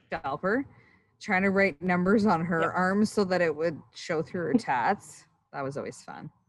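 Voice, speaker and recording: A woman speaks at a moderate pace and medium pitch with ordinary pitch variation against a quiet background. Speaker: former roller derby player. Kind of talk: casual chat.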